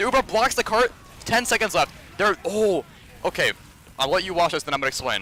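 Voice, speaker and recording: A man with a high pitch speaks in a raised, projected voice at a fairly quick pace. Long, frequent pauses break up his speech, and there is noticeable background noise. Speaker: competitive gamer reviewing own match. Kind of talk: match demo review. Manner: fast, casting-like delivery; halting, frequent self-corrections.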